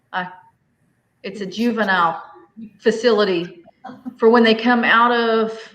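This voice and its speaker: Speaking at a very slow pace with a Southern US accent, a woman with a fairly high pitch keeps a fairly even intonation amid audible room echo. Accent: US South. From Arkansas, Fort Smith. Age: 40s. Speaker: homestead livestreamer. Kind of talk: casual chat. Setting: livestream video call.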